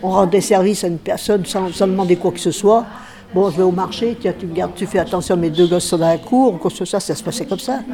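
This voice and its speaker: A woman speaking at a very fast pace over noticeable background noise. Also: medium pitch for a woman, ordinary pitch variation. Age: old. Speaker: senior resident sharing local memories. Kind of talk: interview.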